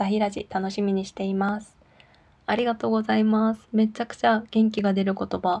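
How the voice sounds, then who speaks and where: A woman's medium-pitched, monotone, flat delivery at a moderate pace, nervous in tone. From South Korea, Daegu. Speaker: Korean language teacher and podcast host. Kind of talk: casual solo talk reading listener messages. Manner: nervous, laughs often.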